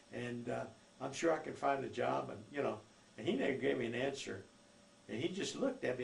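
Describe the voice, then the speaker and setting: Room echo is audible as a man with an American accent talks at a fairly quick pace. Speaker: elderly man telling his life story. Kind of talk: oral history storytelling. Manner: halting, many fillers.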